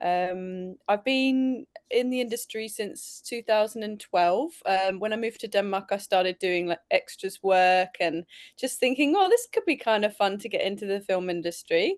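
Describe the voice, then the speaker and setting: A woman speaks at a medium pitch with a British accent. The sound is dry and close with no echo. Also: ordinary pitch variation, moderate pace, quiet background. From England. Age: 40s. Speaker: film director and actor. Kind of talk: interview. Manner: halting, many fillers.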